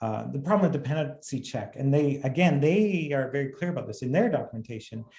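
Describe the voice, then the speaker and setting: Talking very fast with hardly any pauses, a man with a fairly high, somewhat breathy voice uses lively intonation. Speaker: software company co-founder and CTO. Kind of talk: webinar presentation.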